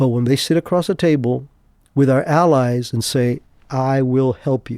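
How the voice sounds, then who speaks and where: A man speaks at a moderate pace and medium pitch in a dark, mellow tone with fairly even intonation. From Cuba. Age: 70s. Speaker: retired intelligence officer. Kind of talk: interview. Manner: halting.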